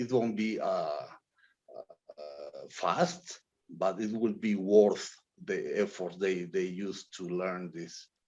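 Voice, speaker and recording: Speaking very slowly, this is a man. His intonation stays lively. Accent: non-native. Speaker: blockchain project director. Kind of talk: interview. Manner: halting, many fillers.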